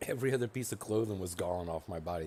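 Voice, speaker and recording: Soft-spoken and fairly quick, a man talks in a dark, mellow tone. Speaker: video game streamer. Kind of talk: gameplay commentary. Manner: hesitant, many fillers.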